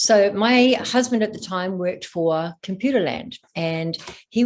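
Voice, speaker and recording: A woman speaks with an Australian accent. Her pitch is medium. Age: 60s. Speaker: stress and trauma coach, former executive. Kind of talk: podcast interview.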